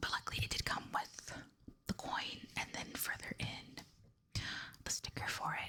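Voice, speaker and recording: Someone whispers at a moderate pace with long, frequent pauses while noticeable background noise carries on behind. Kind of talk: ASMR show-and-tell. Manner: whispered.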